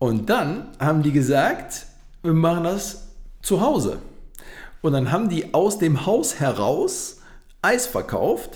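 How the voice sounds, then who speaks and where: A man talks very slowly, with long, frequent pauses. His loudness stays very even, and room echo is audible. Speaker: podcast co-host. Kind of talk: casual chat. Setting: home studio.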